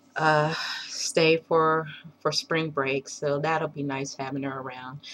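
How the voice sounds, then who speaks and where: With noticeable background noise behind her, a woman speaks very slowly in a very deep, low pitch and a monotone, flat intonation. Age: 40s. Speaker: video blogger, mother. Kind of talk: casual personal video diary. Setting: at home. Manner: rambling, hesitant with many fillers.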